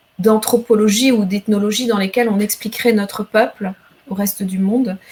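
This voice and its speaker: The speaker is a woman with a fairly high pitch. Her intonation is fairly even. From Rwanda. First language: Kinyarwanda (speaking French). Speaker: novelist and poet. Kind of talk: literary interview.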